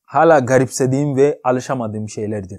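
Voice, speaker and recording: Against a quiet background, a man with a non-native accent speaks at a moderate pace in a fairly high voice. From Ghana. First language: not Turkish (speaking Turkish). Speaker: YouTuber; vlogger. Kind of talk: vlog monologue. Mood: cheerful, joking. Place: home room.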